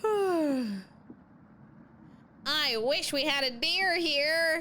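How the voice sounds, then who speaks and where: Over clear background noise, a woman does a put-on character voice at a high pitch. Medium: game stream.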